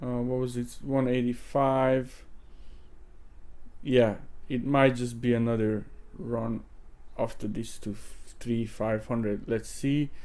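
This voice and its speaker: A man with a non-native accent and a dark, mellow tone talks at a very slow pace with long, frequent pauses. His intonation is fairly even, and audible room echo surrounds the voice. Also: medium pitch for a man. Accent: foreign accent, self-noted. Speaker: crypto trading youtuber. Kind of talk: tutorial. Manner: casual, hesitant with fillers.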